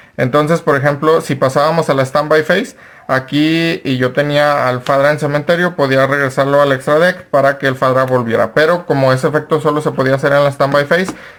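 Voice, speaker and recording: An unremarkable speaking voice belongs to a man with a fairly high pitch, talking at a moderate pace. His intonation is fairly even, and his loudness stays very even. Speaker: card game content creator. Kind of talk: tutorial.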